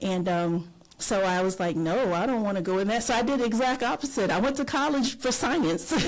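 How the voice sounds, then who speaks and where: Delivered with a Southern US accent and lively intonation, the voice moves at a fairly quick pace with very even loudness, over noticeable background noise and audible room echo. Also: woman, fairly high pitch for a woman. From North Florida. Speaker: retired teacher and advocate. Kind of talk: podcast interview.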